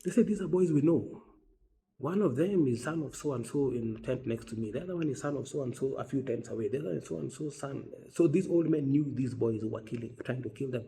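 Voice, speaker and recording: A man's dark, mellow, somewhat breathy voice at a very fast pace, with lively intonation. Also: medium pitch for a man. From West Africa. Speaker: humanitarian doctor. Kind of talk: personal storytelling monologue.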